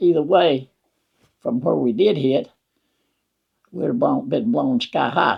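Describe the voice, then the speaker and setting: At a fairly slow pace, a man talks with a Southern US accent. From Wetumpka, Alabama. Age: 80s+. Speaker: war veteran. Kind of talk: interview answer.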